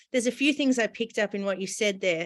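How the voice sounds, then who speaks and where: A woman with an Australian accent speaks at medium pitch with ordinary pitch variation, on a very clean recording with a silent background. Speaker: interviewer, nonprofit CEO. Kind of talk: interview.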